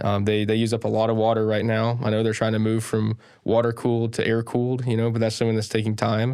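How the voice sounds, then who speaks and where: A man talks at a very fast pace and medium pitch. The recording is very clean, with a silent background. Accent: Southern US. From Sharpsburg, Georgia, USA. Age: 20s. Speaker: political candidate. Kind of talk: podcast interview answer.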